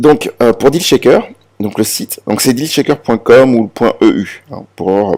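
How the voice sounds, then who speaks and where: A man speaks at a moderate pace in a dark, mellow tone with lively intonation. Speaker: crypto promoter. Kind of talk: presentation. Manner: halting, many fillers and repetitions.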